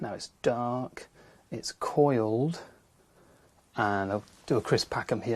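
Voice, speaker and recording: Against a quiet background, a somewhat breathy man speaks at a fairly slow pace and medium pitch, with ordinary pitch variation. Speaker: wildlife TV presenter. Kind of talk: nature presenting to camera. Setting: in a wildlife hide. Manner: speaking quietly.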